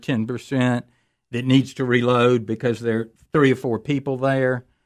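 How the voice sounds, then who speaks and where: An ordinary speaking voice. The pace is moderate. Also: man. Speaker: radio host, retired judge and firearms instructor. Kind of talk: radio call-in talk show.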